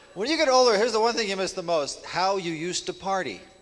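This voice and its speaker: A man with lively intonation and audible room echo. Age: 50s. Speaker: stand-up comedian. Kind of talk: stand-up. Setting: stage with audience.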